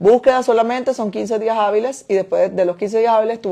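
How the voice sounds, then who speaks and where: Against a quiet background, a woman talks at a very fast pace in a fairly high pitch, her dark, mellow tone kept to fairly even intonation. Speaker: import business owner and online teacher; import business host. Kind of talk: Q&A livestream answering viewer questions. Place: home room. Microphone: phone near.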